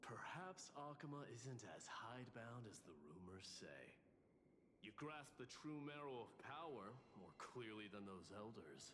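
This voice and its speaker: Doing a put-on character voice at medium pitch, a man speaks at a moderate pace over clear background noise. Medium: video game. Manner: haughty, scornful.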